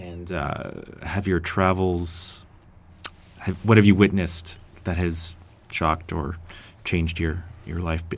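Very deep and low, a man's somewhat breathy voice stays flat and monotone, broken by long, frequent pauses. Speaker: interviewer. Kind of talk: casual interview.

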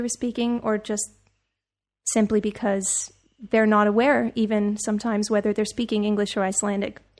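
Over a quiet background, a woman with a fairly high pitch talks at a fairly quick pace with monotone, flat intonation. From Serbia. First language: Serbian. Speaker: singer-songwriter. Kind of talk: interview. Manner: halting.

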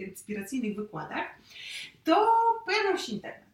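This woman talks at a fairly quick pace while noticeable background noise fills the recording. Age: 30s. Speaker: youtuber sharing her love story. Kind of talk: casual interview.

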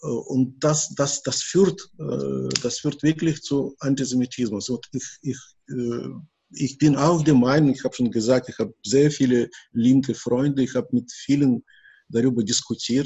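Speaking at a fairly slow pace with a Russian accent, a man with a medium-pitched, somewhat breathy voice keeps his intonation fairly even. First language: Russian (speaking German). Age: 60s. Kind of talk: interview. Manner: halting, many repetitions and fillers.

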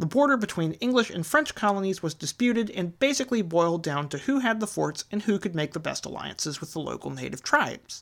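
Talking at a very fast pace with hardly any pauses, a woman with a Southern US accent uses very wide pitch swings around a medium pitch. Vocal fry runs through her voice. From US South. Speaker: history podcaster. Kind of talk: scripted narration.

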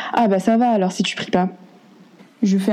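A woman speaks at a moderate pace with fairly even intonation. There is noticeable background noise. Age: 20s. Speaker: interviewee sharing experiences. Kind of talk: testimony.

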